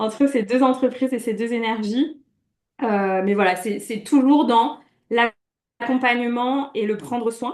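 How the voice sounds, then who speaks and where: Her voice is an unremarkable speaking voice, as a woman with a fairly high pitch talks with ordinary pitch variation. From France, Brittany. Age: 30s. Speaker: coach. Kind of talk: interview.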